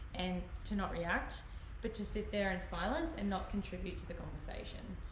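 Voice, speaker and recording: At a moderate pace, a woman with an Australian accent speaks amid audible room echo and noticeable background noise. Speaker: livestream host. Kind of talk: casual chat. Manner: quiet; halting. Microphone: quiet on the stream.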